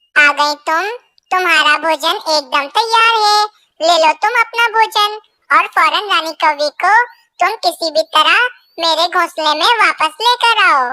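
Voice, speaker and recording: Squeaky and extremely high, this is a cartoonish character voice. It goes at a fairly slow pace. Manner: scheming.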